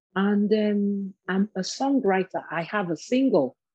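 The woman's voice has a dark, mellow tone at medium pitch. She talks at a very slow pace. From Nigeria. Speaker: minister and author. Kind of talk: interview.

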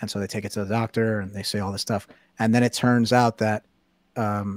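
A man with a New York accent talks at a fairly quick pace in a fairly low, monotone voice. The recording is very clean, with a silent background. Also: dry, close sound with no echo. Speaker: writer. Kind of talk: casual chat.

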